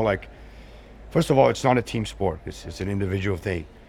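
Over audible room echo, a man with a fairly low voice speaks at a very fast pace with ordinary pitch variation. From Brazil. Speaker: surf magazine editor. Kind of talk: casual chat. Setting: jiu-jitsu gym.

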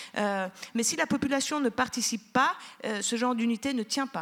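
Here a woman speaks with a Turkish accent. Her voice is fairly high, with ordinary pitch variation. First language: Turkish (speaking French). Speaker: sociologist. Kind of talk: panel discussion.

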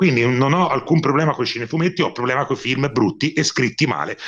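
A man's medium-pitched voice at a fairly quick pace, with lively intonation and a quiet background. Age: 40s. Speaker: film critic. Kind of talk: casual chat. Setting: remote call. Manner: animated.

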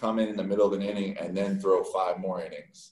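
This is an ordinary speaking voice, a man with an American accent. His pitch is fairly low. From Texas. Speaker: professional baseball pitcher. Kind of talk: interview. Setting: remote call.

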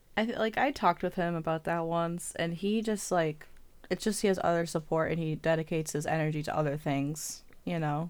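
In a very clean recording with a silent background, a woman with a normal speaking voice talks at a fairly quick pace, her pitch fairly low with ordinary variation. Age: 20s. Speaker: podcast co-host. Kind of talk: casual chat.

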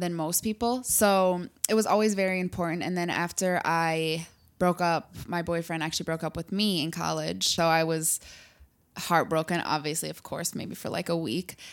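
A woman with an ordinary speaking voice talks at a moderate pace in a fairly low pitch with fairly even intonation, on a very clean recording with a silent background. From Michigan, US (moved from Germany and Singapore). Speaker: entrepreneur, apparel brand founder. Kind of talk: interview.

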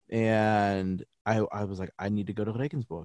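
Recorded very cleanly against a silent background, a man with an American accent speaks at medium pitch and a moderate pace. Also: dry, close sound with no echo. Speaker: voiceover artist. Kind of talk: interview.

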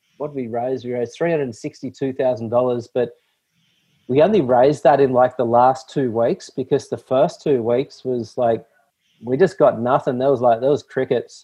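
A man's medium-pitched voice with an Australian accent, fairly even intonation and a moderate pace. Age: 40s. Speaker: ocean cleanup founder. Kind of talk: interview.

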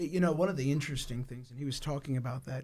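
In an American accent, a man with a fairly high pitch and ordinary pitch variation sounds somewhat breathy on a very clean recording with a silent background. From United States. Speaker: pastor. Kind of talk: casual chat. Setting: studio.

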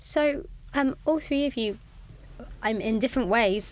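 A woman with an ordinary speaking voice and lively intonation talks at a moderate pace in a very clean recording with a silent background. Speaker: podcast host. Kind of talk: panel discussion.

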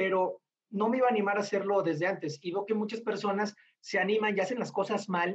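A man with a high voice at a fairly quick pace. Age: 30s. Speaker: bartender and brand ambassador. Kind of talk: interview conversation.

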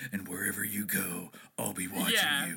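In a put-on character voice, a man speaks at a moderate pace, gruff and raspy, with a very deep, low pitch. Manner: menacing.

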